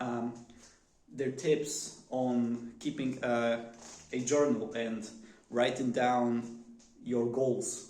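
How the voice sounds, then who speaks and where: A man with a Polish accent and a dark, mellow tone at medium pitch, very slow and fairly even in intonation, with long, frequent pauses and audible room echo. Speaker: vlogger. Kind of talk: casual monologue. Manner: halting, many fillers.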